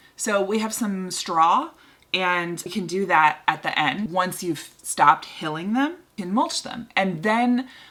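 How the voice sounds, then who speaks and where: A woman speaks very slowly at a medium pitch with lively intonation over noticeable background noise. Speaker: gardening channel host. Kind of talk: tutorial.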